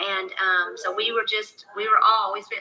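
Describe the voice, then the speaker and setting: Music in the background behind a woman's fairly high voice at a fairly slow pace. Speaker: real estate mentorship host. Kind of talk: live Q&A webinar.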